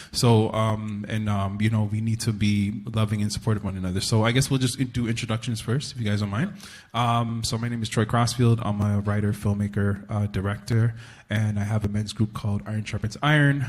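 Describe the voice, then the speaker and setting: Somewhat breathy and with a Toronto accent, the voice moves at a fairly quick pace on a very clean recording with a silent background. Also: man, fairly low pitch for a man. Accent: Canadian English, Toronto. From Toronto, Canada. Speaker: panel moderator, writer and filmmaker. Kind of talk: live panel discussion. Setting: stage with audience. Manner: animated.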